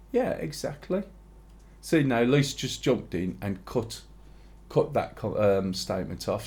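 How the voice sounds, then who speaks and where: Vocal fry from a man at medium pitch and a moderate pace. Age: 60s. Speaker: streamer. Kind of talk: casual chat.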